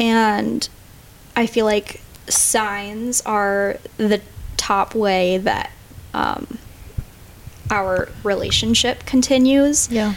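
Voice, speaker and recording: A woman with an American accent, fairly high in pitch, at a very slow pace with long, frequent pauses, fairly even intonation, and very even loudness. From Minnesota. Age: 20s. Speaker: physician assistant student. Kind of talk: podcast interview about grief.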